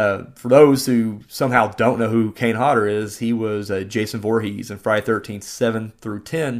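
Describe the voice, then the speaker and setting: At a moderate pace, a man speaks in an unremarkable speaking voice at medium pitch, captured in a very clean recording with a silent background. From Southern Indiana, US. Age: 30s. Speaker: podcast host and indie filmmaker. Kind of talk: casual monologue and film review. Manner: casual, many fillers.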